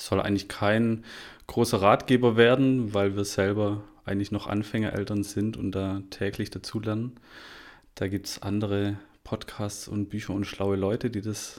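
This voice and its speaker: This man speaks with a fairly low pitch in a flat monotone at a moderate pace, in a very clean recording with a silent background. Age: 30s. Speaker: podcast host, father. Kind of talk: casual podcast intro.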